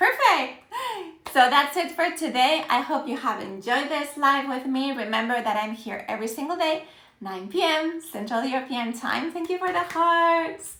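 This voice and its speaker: Raising and projecting her high-pitched voice, a woman speaks at a moderate pace with lively intonation and an animated tone over noticeable background noise. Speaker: Spanish teacher. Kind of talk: live-stream language lesson. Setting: Instagram live stream. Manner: animated, encouraging.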